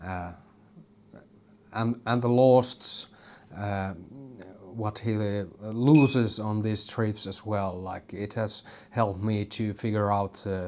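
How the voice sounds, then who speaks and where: A man's fairly low pitch and Finnish accent, at a very slow pace with long, frequent pauses and fairly even intonation. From Finland. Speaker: YouTuber. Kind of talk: casual vlog monologue. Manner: halting, many fillers.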